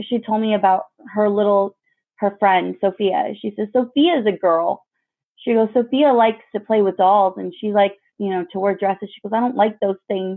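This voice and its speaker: Using a normal speaking voice with an American accent, a woman talks at a moderate pace with ordinary pitch variation. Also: medium pitch for a woman. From Mexican American community, US. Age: 30s. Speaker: mother. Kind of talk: interview.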